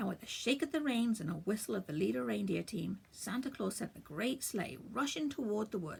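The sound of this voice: What you hear is an unforced reading voice.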